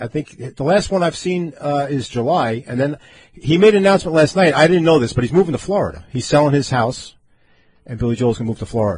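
A man with an American accent, somewhat breathy and fairly high in pitch, with lively intonation at a very fast pace. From Long Island, New York. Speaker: radio host. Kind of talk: casual chat. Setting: studio. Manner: animated.

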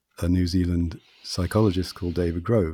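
The recording is very clean, with a silent background. The voice is somewhat breathy. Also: man. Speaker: Chinese medicine practitioner and author. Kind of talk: interview conversation. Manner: hypnotic, entrancing pace.

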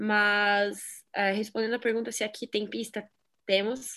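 A woman with an ordinary speaking voice talks at a moderate pace and medium pitch. The recording is very clean, with a silent background. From southwestern Paraná, Brazil. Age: 20s. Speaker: BMX freestyle athlete. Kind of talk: casual interview.

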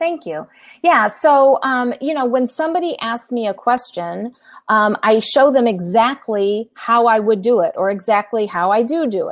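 Lively in intonation and moderate in pace, a woman speaks in a plain, everyday voice with a fairly high pitch. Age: 50s. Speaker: business coach and consultant. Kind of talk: interview.

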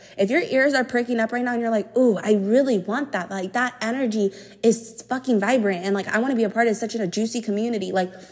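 Fairly even intonation from a woman at a fairly high pitch, with noticeable background noise. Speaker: podcast host and somatic coach. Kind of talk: solo monologue podcast. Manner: loud.

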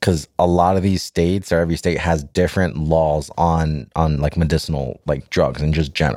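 In a very clean recording with a silent background, a man with an American accent and a very deep, low pitch talks at a fairly quick pace with hardly any pauses. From Florida. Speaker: podcast co-host. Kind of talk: casual chat. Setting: studio.

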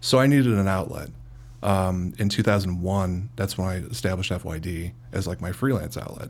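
Lively in intonation, a man with a Chicago accent and a very deep, low pitch talks at a moderate pace. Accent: Chicago-area American. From US Midwest (Cicero, Illinois). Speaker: CEO of a digital marketing agency. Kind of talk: casual interview.

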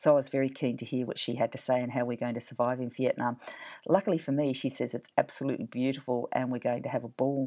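A woman's very deep, low voice with an Australian accent, at a very fast pace. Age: 50s. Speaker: podcast host and writing teacher. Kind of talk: interview. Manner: animated.

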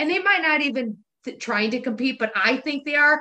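The woman's intonation is lively and her pace fairly quick. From US Midwest, Wisconsin. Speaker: podcast co-host. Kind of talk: casual chat.

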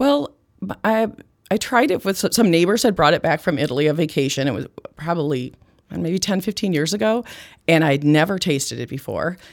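Her fairly low voice swings very widely in pitch as this woman speaks. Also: fairly quick pace. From US Midwest, small farm town in Iowa. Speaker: liqueur company founder. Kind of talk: interview conversation.

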